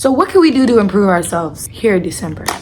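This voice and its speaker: Over noticeable background noise, a woman talks at a very fast pace in an animated tone with very wide pitch swings. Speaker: vlogger, young mother. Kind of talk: casual vlog. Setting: at home, apartment. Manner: quiet.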